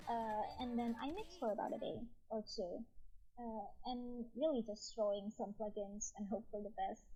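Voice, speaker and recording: Her voice is fairly high, somewhat breathy and dark and mellow in tone. The woman keeps a moderate pace with ordinary pitch variation. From tropical country. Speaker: singer who posts song covers online. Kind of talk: interview. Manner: halting, many fillers.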